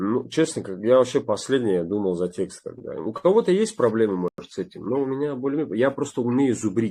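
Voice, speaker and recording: Over a quiet background, a man speaks in a dark, mellow tone with lively intonation. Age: young. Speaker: actor. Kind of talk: interview. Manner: halting.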